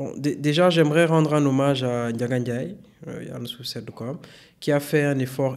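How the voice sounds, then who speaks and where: A man speaks at a moderate pace. His medium-pitched voice keeps a fairly even intonation. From Gabon (Senegalese parents). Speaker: tech consultant and data science instructor. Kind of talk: podcast interview.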